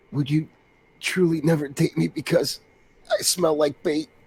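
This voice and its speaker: Putting on a raspy character voice, a man speaks at a moderate pace in a fairly high pitch. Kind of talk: comic overacting. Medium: read story.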